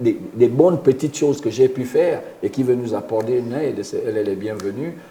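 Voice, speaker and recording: A man's medium-pitched, somewhat breathy voice with a dark, mellow tone, ordinary pitch variation and a moderate pace. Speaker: former international footballer and youth football coach. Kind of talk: radio interview. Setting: radio studio. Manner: halting, repeats words.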